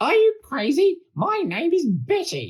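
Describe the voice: Putting on a character voice, a man speaks at a fairly slow pace in an extremely high pitch with very wide pitch swings.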